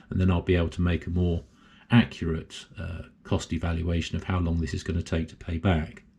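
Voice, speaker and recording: Speaking at a fairly quick pace, a man with an English accent has a very deep, low pitch, monotone, flat intonation, a somewhat breathy quality, and a dark, mellow tone. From England. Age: 70s. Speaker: solar hobbyist YouTuber. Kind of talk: tutorial. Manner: casual, hesitant with fillers.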